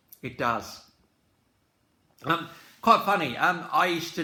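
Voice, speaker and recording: Audible room echo on a man's voice at a moderate pace with ordinary pitch variation. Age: 60s. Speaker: music commentator. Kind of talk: casual reflective talk to camera. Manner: hesitant, many fillers.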